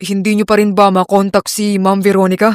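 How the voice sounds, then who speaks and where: A man puts on a character voice, high-pitched and strained. He talks fairly quickly in a flat monotone. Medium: read story. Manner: calm, restrained.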